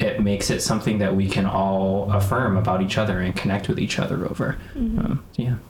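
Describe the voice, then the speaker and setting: With an American accent, a man of fairly low pitch speaks at a fairly quick pace with fairly even intonation, amid noticeable background noise and audible room echo. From US Midwest, north suburbs of Chicago. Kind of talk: casual chat.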